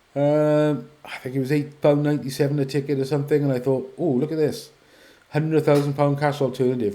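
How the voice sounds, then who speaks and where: At a moderate pace, a man talks in a fairly high voice with a dark, mellow tone. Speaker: car competition vlogger. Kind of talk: casual commentary video. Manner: hesitant, many fillers. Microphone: poor audio.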